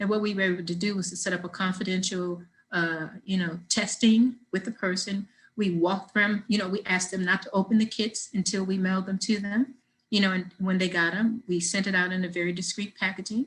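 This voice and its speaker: At a fairly quick pace, a woman talks in a somewhat breathy voice of medium pitch. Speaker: nonprofit deputy director. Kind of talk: webinar presentation. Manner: animated.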